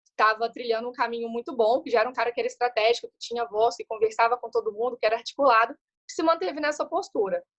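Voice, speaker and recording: A woman talks very fast at a high pitch, the sound dry and close with no echo. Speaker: guest speaker on innovation. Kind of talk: webinar talk.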